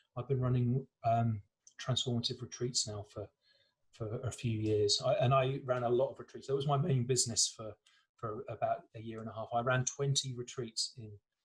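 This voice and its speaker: A somewhat breathy man with an English accent, medium pitch, monotone, flat intonation, big swings in loudness and a moderate pace. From England. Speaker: breathwork teacher. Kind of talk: interview.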